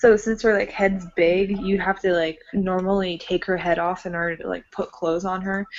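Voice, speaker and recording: Against noticeable background noise, a woman speaks at a moderate pace and a medium pitch. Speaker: doll collector. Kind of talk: casual chat. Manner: casual, filler-heavy.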